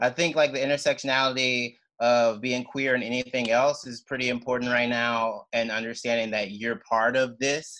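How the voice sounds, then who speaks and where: This man has an American accent and a bright, sharp tone at a medium pitch. He keeps a moderate pace with monotone, flat intonation and hardly any pauses. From Mississippi, US South. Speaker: comedian. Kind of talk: casual chat. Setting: video call.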